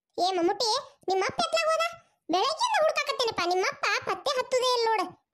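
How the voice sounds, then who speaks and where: In a cartoonish character voice, a woman squeaks at an extremely high pitch with very wide pitch swings, very even loudness and a fairly quick pace. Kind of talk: cartoon comedy sketch. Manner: scolding, fast, sarcastic.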